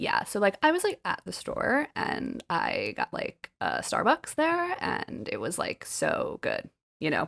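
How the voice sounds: A creaky, put-on character voice delivers its lines at a fairly slow pace.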